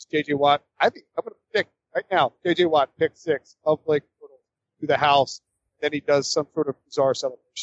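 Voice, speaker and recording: With an American accent and an unremarkable speaking voice, a man talks at a moderate pace with fairly high pitch, fairly even intonation and big swings in loudness. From High Point, North Carolina. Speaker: NFL writer. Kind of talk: casual sports betting picks chat.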